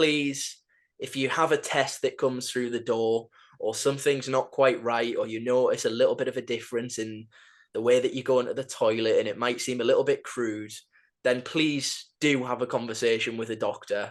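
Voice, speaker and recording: A man with a Geordie accent talks at a moderate pace with medium pitch. His intonation is fairly even, and the background is quiet. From northern England, Newcastle. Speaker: football podcast host. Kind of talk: podcast chat. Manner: halting.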